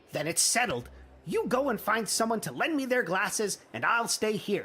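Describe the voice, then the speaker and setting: A man puts on a character voice, high in pitch and raised and projected. His intonation is lively and his pace moderate. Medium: video game. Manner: earnest, bumbling.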